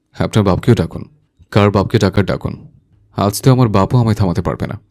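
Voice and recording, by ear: Against a quiet backdrop, the passage is read aloud in a natural voice.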